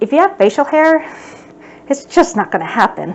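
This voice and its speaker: A woman talks at a moderate pace, her pitch swinging very widely. Noticeable background noise runs underneath. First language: American Sign Language. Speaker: sign language instructor. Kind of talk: educational talk.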